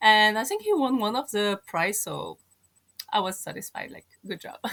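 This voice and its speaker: Woman with a strong French accent, big swings in loudness and a moderate pace. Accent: thick French. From France, Moroccan parents. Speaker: podcast guest. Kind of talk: casual chat.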